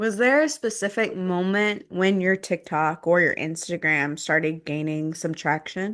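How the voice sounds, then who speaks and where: Against a quiet background, a woman speaks in an unremarkable speaking voice, fairly low-pitched with ordinary pitch variation, at a fairly slow pace. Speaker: podcast host. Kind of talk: podcast intro and interview questions.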